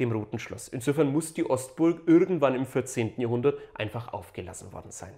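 A man at a moderate pace with lively intonation, against a quiet background. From Upper Franconia, Germany. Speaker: local history YouTuber. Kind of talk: educational video narration. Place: home room. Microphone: lapel.

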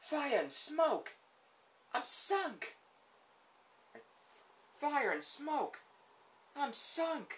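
A man's put-on character voice at an extremely high pitch, very slow pace and long, frequent pauses. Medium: dub. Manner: excitable.

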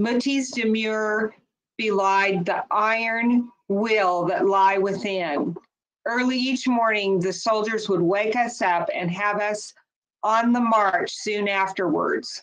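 This woman's fairly high voice moves at a very slow pace with ordinary pitch variation. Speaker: author's daughter reading. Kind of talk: memoir reading aloud. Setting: webinar. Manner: measured, earnest narration. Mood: somber, dramatic storytelling. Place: home room. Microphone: video call.

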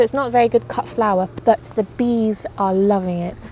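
A woman speaks at a fairly slow pace with ordinary pitch variation, in dry sound with no echo over light background noise. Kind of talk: casual vlog chat. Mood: cheerful, enthusiastic. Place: garden. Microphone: phone near.

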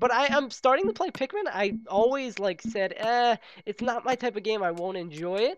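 The man's voice sits at a high pitch, varying in an ordinary way. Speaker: gaming YouTuber. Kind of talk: let's play commentary. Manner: fast; animated.

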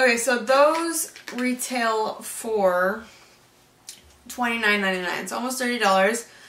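Audible room echo surrounds a woman with a fairly high pitch and ordinary pitch variation. She talks at a very slow pace. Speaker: beauty vlogger. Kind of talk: unboxing video, casual chat. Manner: chatty, casual. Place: home room. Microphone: camera far.

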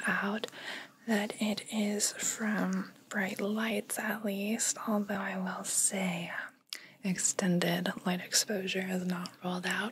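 A soft-spoken woman at a very slow pace, monotone and flat in intonation, with light background noise. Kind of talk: soft-spoken roleplay talk to the viewer. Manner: soft, close ASMR voice. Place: home room.

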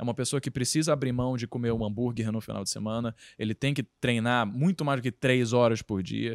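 Against a quiet background, a man speaks at a very fast pace. His medium-pitched voice has a dry sound with no echo. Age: 20s. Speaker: podcast host and content creator; podcast host, content creator. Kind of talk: podcast interview. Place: home room. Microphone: handheld.

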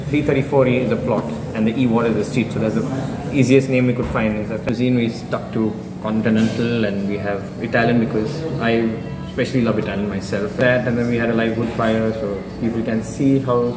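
Clear music is heard behind the voice. A man talks at a fairly quick rate. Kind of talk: interview answer. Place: cafe. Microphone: phone near.

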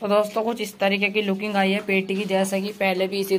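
A woman talks at a moderate pace. Light noise sits in the background. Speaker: poultry keeper vlogger. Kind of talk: casual vlog chat. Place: farm machine. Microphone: phone near.

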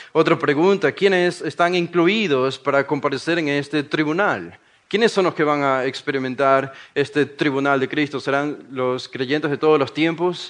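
Moderately paced, a man talks in a fairly high pitch with ordinary pitch variation. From Ecuador, Guayaquil. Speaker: preacher. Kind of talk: sermon-style workshop talk. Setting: conference workshop with live audience.

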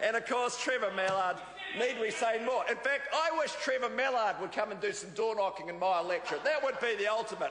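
Fairly quick speech in a New Zealand accent, with ordinary pitch variation, light background noise and audible room echo. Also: man. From New Zealand, Auckland North Shore. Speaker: politician, government minister. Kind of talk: parliamentary debate speech. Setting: parliament chamber. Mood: mocking, jovial. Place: hall. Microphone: podium.

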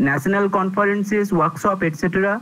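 A man speaks with a high pitch. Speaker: speaker. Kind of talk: formal speaker introduction. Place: home room. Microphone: earbuds.

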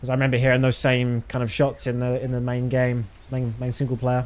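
A man talks at a fairly quick pace in a British accent. His intonation is monotone and flat. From Britain. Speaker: video game streamer. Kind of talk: live gameplay commentary. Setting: live stream. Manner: casual. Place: home room. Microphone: studio mic.

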